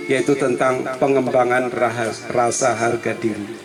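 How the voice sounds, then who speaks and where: Music plays in the background and the room echo is audible as a man speaks at a very slow pace with fairly even intonation. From Java, Indonesia. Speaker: retiring teacher. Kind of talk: farewell speech.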